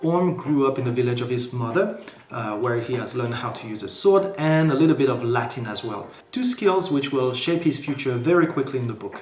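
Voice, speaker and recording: Amid noticeable background noise and audible room echo, a man with a French accent talks at a fairly quick pace with fairly high pitch and lively intonation. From France. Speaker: book reviewer. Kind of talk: book review vlog. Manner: casual, animated.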